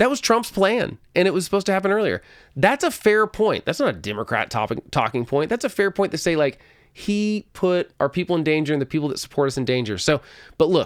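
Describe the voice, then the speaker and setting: In a slight Oklahoma accent, a man speaks at a very fast pace with very wide pitch swings, on a very clean recording with a silent background. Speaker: political podcast host. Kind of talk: solo political commentary. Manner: conversational, with frequent self-corrections and repeats.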